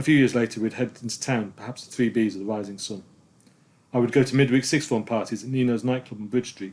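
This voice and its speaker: Talking at a very fast pace, a man keeps a fairly even intonation while his loudness swings widely. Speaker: filmmaker narrating own life. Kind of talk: scripted narration.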